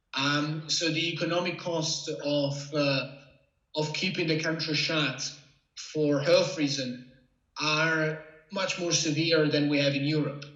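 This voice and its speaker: A man with an Italian accent, fairly high pitch, monotone, flat intonation and a fairly slow pace, with audible room echo. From Italy. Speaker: freelance journalist. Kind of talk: interview. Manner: halting.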